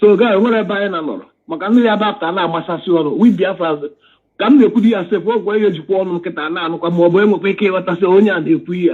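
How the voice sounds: A man talks at a very fast pace with few pauses and ordinary pitch variation. His high voice carries a slightly husky edge.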